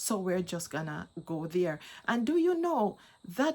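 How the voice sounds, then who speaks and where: The voice moves at a moderate pace on a very clean recording with a silent background. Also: woman. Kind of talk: testimony. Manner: halting, repeats words.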